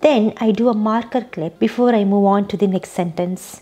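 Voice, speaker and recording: A woman's medium-pitched voice with a non-native accent, a dark, mellow tone, ordinary pitch variation and a moderate pace. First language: not English. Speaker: YouTube creator, software developer. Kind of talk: scripted tutorial.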